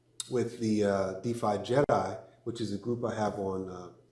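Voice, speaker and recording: Moderate pace, with audible room echo. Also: man. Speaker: crypto vlogger and business owner. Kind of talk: casual vlog talk. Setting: studio. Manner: measured, with many fillers.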